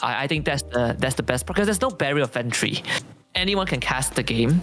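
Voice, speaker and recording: A man at a fairly quick pace with very wide pitch swings and very even loudness, over noticeable background noise. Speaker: esports shoutcaster. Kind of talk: casual chat.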